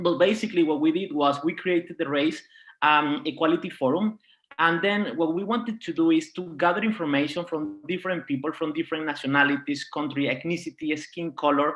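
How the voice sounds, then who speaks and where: With a high pitch, a man delivers his words at a fairly quick pace. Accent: Spanish. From Venezuela. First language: Spanish. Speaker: diversity and inclusion project leader. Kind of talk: panel talk.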